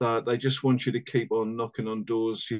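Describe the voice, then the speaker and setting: Over a quiet background, a man speaks in a medium pitch with monotone, flat intonation. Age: 50s. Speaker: former Jehovah's Witness, door supervisor. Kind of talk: interview. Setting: video call. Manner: halting, repetitive. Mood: earnest, reflective. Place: home room. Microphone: video call.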